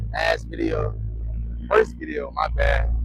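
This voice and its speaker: Noticeable background noise and audible room echo surround the speaker. A man talks with a very deep, low pitch and fairly even intonation. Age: 20s. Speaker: car vlogger. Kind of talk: casual vlog. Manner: stuttering; hurried.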